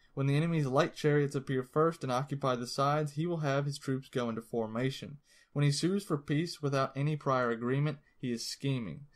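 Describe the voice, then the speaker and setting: A man with an ordinary speaking voice talks in a fairly high pitch with fairly even intonation and hardly any pauses, on a very clean recording with a silent background. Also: fairly quick pace. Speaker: audiobook narrator. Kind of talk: audiobook reading of a classic text, read aloud. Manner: measured, steady, formal.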